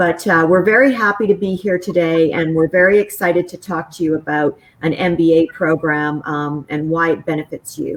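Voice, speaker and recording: A woman with a Canadian accent speaks in a normal speaking voice, fairly low in pitch. Her pace is moderate, with ordinary pitch variation and hardly any pauses. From Western Canada. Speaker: business school professor. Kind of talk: panel interview.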